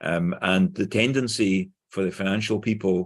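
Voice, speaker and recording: Against a quiet background, a man with a Glaswegian accent speaks at a moderate pace in a fairly low voice. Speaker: conference speaker, engineer. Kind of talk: conference presentation. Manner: clear.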